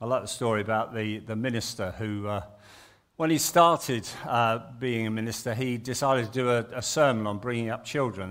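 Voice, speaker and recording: A man speaks at medium pitch with ordinary pitch variation. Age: 60s. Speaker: retired Baptist minister. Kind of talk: sermon. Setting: church.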